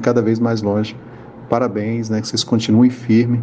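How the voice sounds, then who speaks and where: Noticeable background noise sits beneath speech delivered at a moderate speed. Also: man. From Goiânia, Brazil. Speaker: spiritist group volunteer. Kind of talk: recorded testimonial. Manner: hesitant, filler 'né'.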